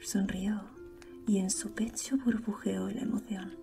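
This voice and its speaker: With music in the background, a soft-spoken woman whispers at a fairly slow pace. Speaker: audiobook narrator / ASMR creator. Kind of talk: soft-spoken audiobook reading for sleep. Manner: soft, whispered, relaxing.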